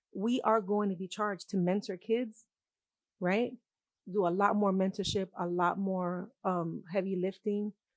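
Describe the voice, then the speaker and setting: A woman at a medium pitch and a fairly slow pace, over a quiet background. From New York, Puerto Rican. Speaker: university art professor. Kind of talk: panel talk. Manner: animated, casual.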